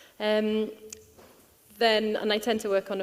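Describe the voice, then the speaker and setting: A soft-spoken woman talks in a Welsh accent. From Wales. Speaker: tourism researcher. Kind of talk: conference panel talk. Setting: conference stage with audience. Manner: fast. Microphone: too quiet.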